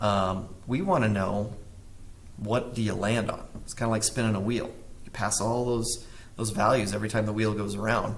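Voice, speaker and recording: Audible room echo surrounds a man who speaks at a moderate pace, fairly low in pitch with fairly even intonation. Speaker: math teacher. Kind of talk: tutorial. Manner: casual, self-correcting.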